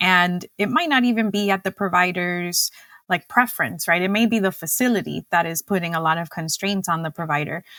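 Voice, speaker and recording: A bright, sharp voice with a Spanish accent moves at a fairly quick pace. The recording is very clean, with a silent background and a dry, close sound with no echo. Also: woman, fairly low pitch for a woman, ordinary pitch variation. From Cuba. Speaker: dietitian and diabetes educator. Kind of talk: podcast interview.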